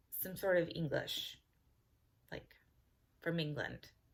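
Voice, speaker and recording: A woman speaks with an American accent. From California. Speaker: beauty vlogger. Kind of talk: casual vlog talk to camera. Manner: casual, with frequent fillers.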